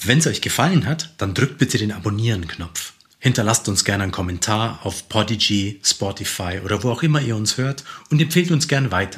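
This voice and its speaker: Fairly quick, somewhat breathy speech from a man at a fairly low pitch with lively intonation. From Lower Bavaria (Simbach am Inn). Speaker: podcast host, culture editor. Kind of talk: interview.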